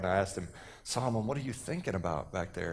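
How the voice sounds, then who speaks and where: The speaker is a man with an American accent. His voice carries noticeable echo from the room. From Texas. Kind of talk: sermon. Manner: animated.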